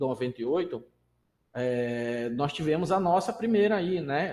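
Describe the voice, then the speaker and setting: The intonation is lively. The pace is fairly slow. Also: man. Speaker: lecturer on pension law. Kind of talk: online lecture. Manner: halting, many repetitions and fillers.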